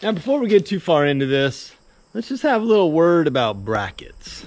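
The man's intonation is lively as he talks. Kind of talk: casual vlog chat. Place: open country. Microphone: phone near.

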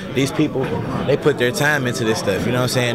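Amid loud background noise, a man speaks very fast with ordinary pitch variation, the sound dry with no echo. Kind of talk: interview answer. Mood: cheerful, smiling. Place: hall.

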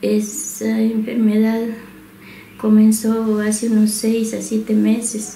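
A woman speaks at a fairly slow pace with a fairly high pitch and monotone, flat intonation. Room echo is audible over light background noise. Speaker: patient's wife. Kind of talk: interview answer. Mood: sad, emotional. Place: home room. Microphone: handheld.

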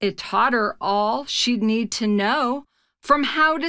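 Plain reading aloud with ordinary pitch variation sits over a quiet background.

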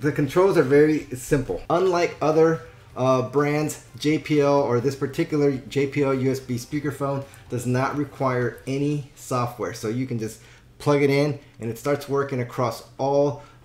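With audible room echo around him, a man talks at a moderate pace in fairly even intonation. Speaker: product reviewer. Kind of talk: product review tutorial. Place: home room.

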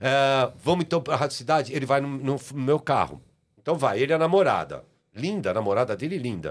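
A man's lively intonation at a fairly quick pace. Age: 60s. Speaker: TV producer and artist promoter; podcast guest. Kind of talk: casual interview storytelling. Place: studio. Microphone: studio mic.

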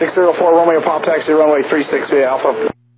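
A man with a fairly high pitch and fairly even intonation, fast-paced, with audible room echo.

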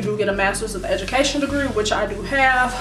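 Over noticeable background noise, a woman's speech moves at a fairly quick pace. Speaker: vlogger. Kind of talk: casual vlog chat. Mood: reflective, slightly frustrated. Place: home room. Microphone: camera far.

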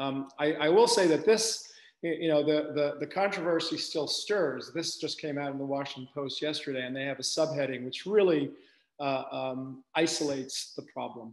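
The pace is moderate, and the pitch varies in an ordinary way. The background is quiet. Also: man. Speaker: medical researcher giving lecture. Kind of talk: lecture. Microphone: webcam.

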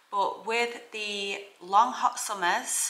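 Audible room echo surrounds a woman whose voice has a bright, sharp tone.

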